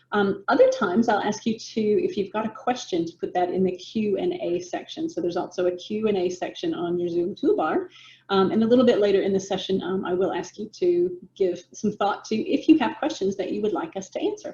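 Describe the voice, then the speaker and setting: A woman with an American accent talks at a fairly quick pace, with hardly any pauses. Her dark, mellow tone sounds somewhat breathy, and her pitch swings very widely. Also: medium pitch for a woman. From United States. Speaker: business coach. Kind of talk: webinar presentation. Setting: video call.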